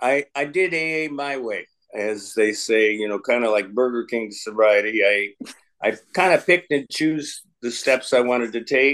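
A man's medium-pitched, fairly bright voice at a fairly slow pace, with ordinary pitch variation.

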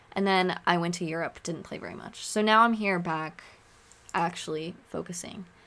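Someone with a West Coast accent talks at a moderate pace in a bright, sharp tone, with fairly even intonation and big swings in loudness. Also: woman, fairly low pitch for a woman. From Oregon. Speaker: podcast host, student. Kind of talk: solo podcast monologue. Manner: casual, laughing often.

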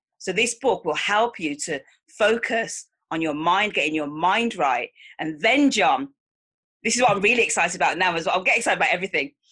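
With a Mancunian accent, a woman speaks at a medium pitch and a fairly quick pace, her tone bright and sharp and her intonation lively. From Manchester, England. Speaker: life coach. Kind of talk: interview.

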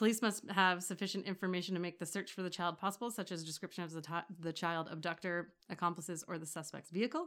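Talking at a very fast pace with hardly any pauses, the speaker keeps a fairly even intonation in a Canadian accent. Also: woman, fairly low pitch for a woman. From Toronto, Canada. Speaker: podcast co-host. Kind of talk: casual chat.

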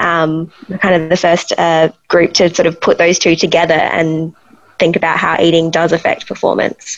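A woman with an Australian accent speaks in a fairly low pitch, her loudness very even and her intonation monotone and flat. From Australia, Adelaide. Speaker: sleep researcher. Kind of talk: interview.

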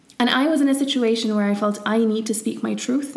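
A woman talks at a fairly quick pace in a fairly high voice. There is noticeable background noise. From Syria. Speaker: podcast co-host, English teacher. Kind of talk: casual chat.

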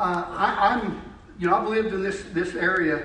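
Pitch rises and falls in an ordinary way. The room echo is audible and background noise is noticeable. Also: man. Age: 50s. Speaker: lay preacher. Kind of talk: sermon. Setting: church.

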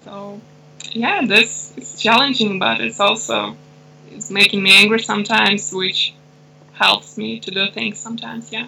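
At a moderate pace, a woman with a Russian accent talks with big swings in loudness over noticeable background noise. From Russia and Ukraine. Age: 20s. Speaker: intersex activist. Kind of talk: interview. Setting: remote call.

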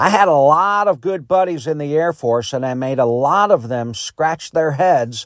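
A man with an American accent and a normal speaking voice talks at a fairly slow pace and fairly high pitch with ordinary pitch variation, recorded very cleanly against a silent background. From US Midwest. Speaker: podcast host. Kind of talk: monologue.

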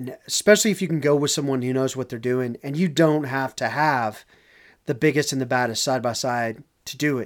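On a very clean recording with a silent background, a man with a slight Southern US accent and medium pitch talks at a fairly quick pace with ordinary pitch variation. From Texas, Dallas. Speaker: off-road podcast co-host. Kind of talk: casual chat.

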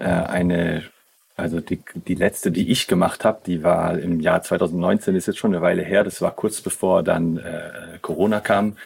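A man talks at a fairly slow pace. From southern Germany, near Schaffhausen on the Swiss border. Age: 30s. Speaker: youth worker. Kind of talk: interview conversation. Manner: halting, many fillers.

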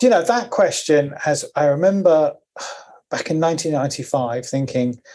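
The speaker talks at a fairly slow pace in a southern English accent. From Cornwall, England. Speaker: engineering professor and tech founder. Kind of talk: interview.

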